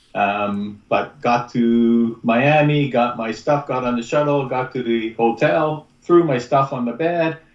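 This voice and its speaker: A plain, everyday voice at a fairly slow pace with ordinary pitch variation. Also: man. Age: 60s. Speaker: podcast guest. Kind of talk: casual chat.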